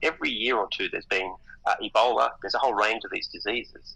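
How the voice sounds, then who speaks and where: This man has an Australian accent. He talks at a fairly quick pace. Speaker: economist. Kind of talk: interview. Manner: halting.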